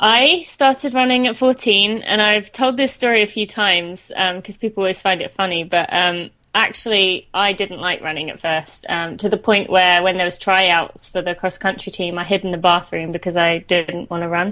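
A woman with a British accent speaks at a moderate pace with hardly any pauses. Her medium-pitched voice has a bright, sharp tone and ordinary pitch variation. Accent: British English with some American words. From St Albans, England. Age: 20s. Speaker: runner and podcast host. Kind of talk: casual interview chat.

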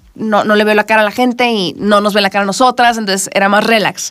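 The delivery is animated and moves at a very fast pace. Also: woman. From northern Mexico, Culiacán, Sinaloa. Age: 20s. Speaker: singer-songwriter. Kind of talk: interview. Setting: radio studio.

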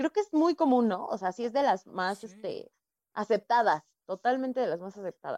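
This woman's voice sits fairly high in pitch, with a dark, mellow tone, very wide pitch swings, a moderate pace and a dry, close sound with no echo. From Estado de México, Coacalco. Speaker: comedian. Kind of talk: casual chat.

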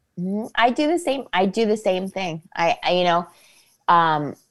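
A woman speaks with a Northeast Ohio accent. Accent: Midwestern American (Northeast Ohio). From Ohio, Akron area (Copley/Fairlawn). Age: 30s. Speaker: actress. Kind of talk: casual chat.

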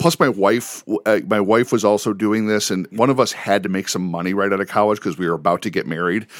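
A man with an American accent and a fairly low pitch, ordinary pitch variation and a fairly quick pace, on a very clean recording with a silent background. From Chicago suburbs, Illinois. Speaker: teacher and coach. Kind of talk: interview.

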